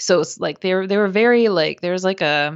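An ordinary speaking voice with lively intonation in an American accent. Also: woman. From US Midwest, Minnesota. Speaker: podcast host, guest. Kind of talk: casual interview conversation.

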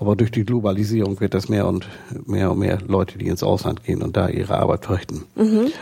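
A man speaks at a fairly quick pace in a fairly low, monotone, flat voice. Noticeable background noise sits behind him. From northern Germany, Lower Saxony coast. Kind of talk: interview. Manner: halting.

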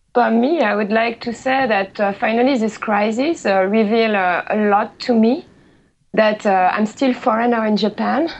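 At a moderate pace, a woman with a French accent talks at a fairly high pitch with ordinary pitch variation. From France. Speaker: office worker living in Japan. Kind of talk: casual panel discussion. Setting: online call.

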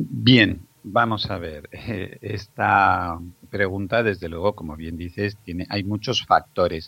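Very deep and low in pitch yet bright and sharp in tone, a man speaks at a very slow pace with ordinary pitch variation and big swings in loudness. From Spain, Zaragoza. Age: 50s. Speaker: pediatrician. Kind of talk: interview.

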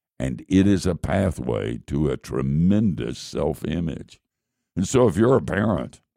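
The voice has a dark, mellow tone with vocal fry, on a very clean recording with a silent background. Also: man. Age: old. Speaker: radio Bible teacher. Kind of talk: radio Bible teaching.

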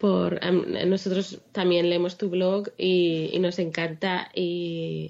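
The speaker is a woman with a medium pitch. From Spain, Madrid. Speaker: blogger and mother. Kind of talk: interview.

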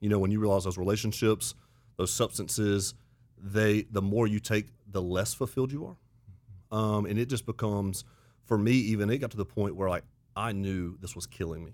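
A man with a Southern US accent talks at a fairly quick pace in a fairly low pitch, his intonation fairly even, broken by long, frequent pauses. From US South (Auburn, Alabama). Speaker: pastor. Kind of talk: casual chat.

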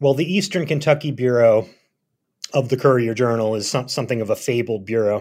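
A man with a plain, everyday voice and an American accent talks at a fairly quick pace and medium pitch with ordinary pitch variation, on a very clean recording with a silent background. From Philadelphia. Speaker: journalist and author. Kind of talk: interview.

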